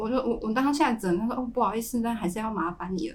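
Against noticeable background noise, a woman talks at a very fast pace and fairly high pitch, with ordinary pitch variation. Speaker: semiconductor fab engineer. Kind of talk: casual chat.

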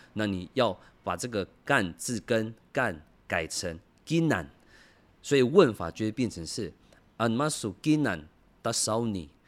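On a very clean recording with a silent background, a man with a fairly low voice swings his pitch very widely and takes long, frequent pauses. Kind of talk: language tutorial. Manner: conversational, many filler particles.

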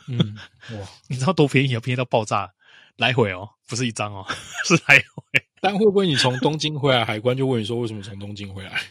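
Bright and sharp in tone, a man speaks at a very fast pace and a medium pitch with lively intonation, big swings in loudness, and long, frequent pauses. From Taiwan. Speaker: podcast host. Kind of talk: casual chat.

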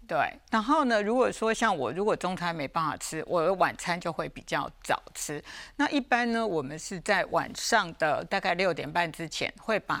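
A woman at a medium pitch speaks at a moderate pace with very wide pitch swings and hardly any pauses. The recording is very clean, with a silent background. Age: 60s. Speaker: food safety expert. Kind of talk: casual health talk show chat.

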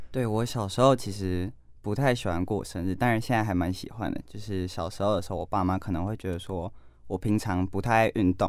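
In an unremarkable speaking voice, a man with a fairly low pitch talks at a fairly quick pace with fairly even intonation. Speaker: journalism student. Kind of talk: casual chat.

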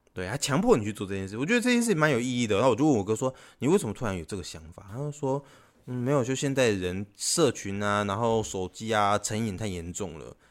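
At a very fast pace, a man with a medium pitch talks in lively intonation. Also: big swings in loudness, very clean recording, silent background. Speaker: podcast co-host. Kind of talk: casual chat.

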